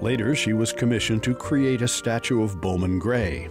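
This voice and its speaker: A man speaking at a fairly quick pace with lively intonation, music in the background. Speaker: TV segment narrator. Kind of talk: TV documentary narration.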